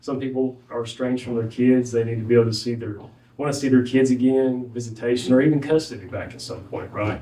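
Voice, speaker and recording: Speaking at a fairly quick pace in a strong Southwest Virginia accent, the voice has a dark, mellow tone and audible room echo. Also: man. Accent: thick Southwest Virginia. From Southwest Virginia (Wise County). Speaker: former judge, legal aid lawyer. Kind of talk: ceremony speech. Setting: courthouse graduation ceremony. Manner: halting, many fillers.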